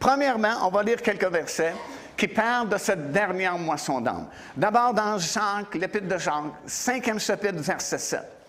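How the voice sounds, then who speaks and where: The speech moves at a very slow pace with lively intonation and audible room echo. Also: man. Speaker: visiting preacher. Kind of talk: sermon. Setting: church.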